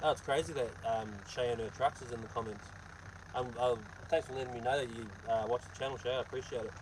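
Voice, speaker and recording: Talking at a very fast pace, a man with a New Zealand accent keeps a medium pitch and fairly even intonation. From New Zealand, Hawke's Bay. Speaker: truck driver and vlogger. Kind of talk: casual live-stream chat reading comments. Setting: live stream while loading truck trailer.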